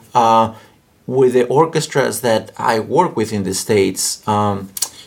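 A fairly low-pitched man's voice amid noticeable background noise. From Mexico. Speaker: orchestra conductor. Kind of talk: interview. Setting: home studio.

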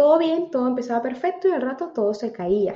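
Audible room echo surrounds a woman's voice. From Venezuela, Táchira. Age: 30s. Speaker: personal development coach. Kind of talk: casual interview.

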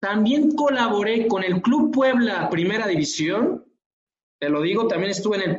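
Animated in tone, a man uses lively intonation at a fairly slow pace. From Mexico. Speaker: physiotherapist and lecturer. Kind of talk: interview conversation.

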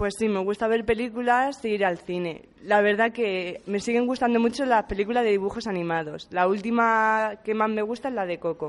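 At a moderate pace with hardly any pauses, a woman talks in a normal speaking voice. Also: fairly high pitch for a woman, ordinary pitch variation. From Spain, Puertollano (Castilla-La Mancha). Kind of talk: interview.

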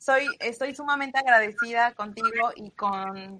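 Fairly high female voice, bright and sharp in tone. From Mexico, Sierra Norte de Puebla. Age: 30s. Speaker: entrepreneur. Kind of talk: interview.

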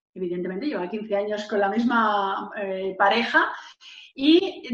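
A woman speaks at a medium pitch. Room echo is audible around her. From Valencia, Spain. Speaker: entrepreneur and author. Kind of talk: interview. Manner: expressive, gesturing.

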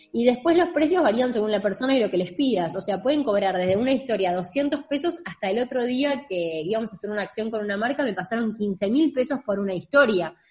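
A woman with a Rioplatense accent, fairly quick and lively, with hardly any pauses, over noticeable background noise. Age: 20s. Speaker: digital marketing agency owner. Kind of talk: interview.

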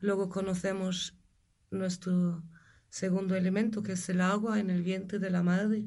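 A woman's somewhat breathy voice in a dark, mellow tone, medium in pitch, with monotone, flat intonation, a fairly slow pace and audible room echo. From Germany. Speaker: energy healer. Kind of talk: interview.

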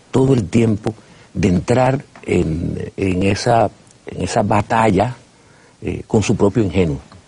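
Over noticeable background noise, a man with a fairly low pitch talks very slowly, his pitch varying in an ordinary way. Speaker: TV host. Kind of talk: TV interview. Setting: studio.

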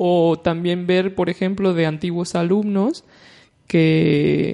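Against noticeable background noise, a woman with a Mexican accent speaks at a fairly low pitch in a monotone, flat intonation. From Mexico, León (central Mexico). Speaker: language school director. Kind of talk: interview.

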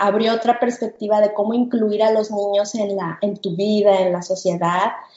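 A woman speaks in a normal speaking voice, fairly high-pitched, at a fairly slow pace with fairly even intonation. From Mexico, Guadalajara. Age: 40s. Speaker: podcast co-host, homeschooling mother. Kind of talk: casual chat.

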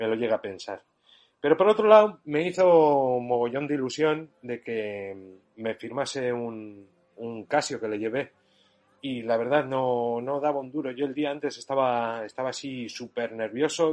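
A man's plain, everyday voice at a medium pitch, fairly slow, with big swings in loudness against a quiet background. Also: ordinary pitch variation. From Barakaldo, Basque Country, Spain. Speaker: retro computer enthusiast. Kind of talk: recorded voice message.

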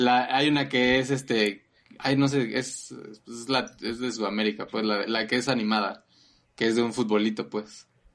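A man speaks with a Mexican accent at a moderate pace. His medium-pitched voice keeps fairly even intonation. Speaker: podcast co-host. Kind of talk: casual chat.

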